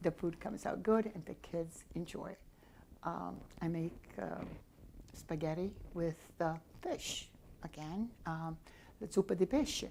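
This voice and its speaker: A woman speaks in a fairly low, dark, mellow voice with vocal fry. She leaves long, frequent pauses. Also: ordinary pitch variation, fairly slow pace. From Sicily, Italy (emigrated at 13). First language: Italian (Sicilian). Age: 70s. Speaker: grandmother home cook. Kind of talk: personal interview, life story. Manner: warm, conversational with hesitations.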